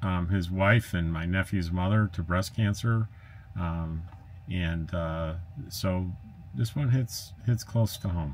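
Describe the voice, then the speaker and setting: A man talks in a very deep, low pitch. He goes at a very slow pace with ordinary pitch variation. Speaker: RV travel vlogger. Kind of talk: casual vlog chat. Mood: upbeat, sharing good news. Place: home room.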